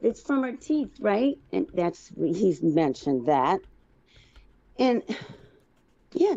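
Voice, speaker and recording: A dark, mellow tone with vocal fry, very wide pitch swings, a very slow pace and long, frequent pauses. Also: woman, medium pitch for a woman. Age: 60s. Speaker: caller. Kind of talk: casual chat. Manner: halting.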